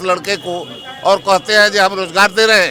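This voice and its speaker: In a raised, projected voice, a man speaks at a high pitch in a monotone, flat intonation over noticeable background noise. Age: 60s. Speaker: political activist. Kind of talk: interview.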